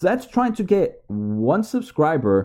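Over a quiet background, a man speaks in a dark, mellow tone. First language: Spanish. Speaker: YouTuber giving side hustle advice. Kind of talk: tutorial. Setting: home recording to camera.

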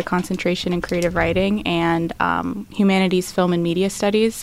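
In a General American accent, a woman speaks at a moderate pace and medium pitch with monotone, flat intonation. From Florida (Tampa), Middle Eastern family. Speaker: law student. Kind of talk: interview.

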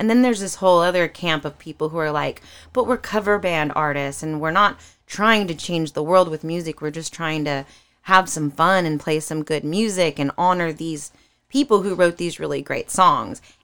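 This is a normal speaking voice with an American accent, ordinary pitch variation and a moderate pace. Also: woman, fairly low pitch for a woman. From California. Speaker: singer. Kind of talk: casual chat.

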